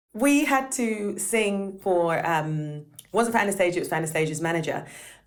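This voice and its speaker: A woman talks at a moderate pace with lively intonation and an animated tone. Her pitch is medium, and the room has an audible echo. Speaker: session singer. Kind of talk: casual chat. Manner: loud.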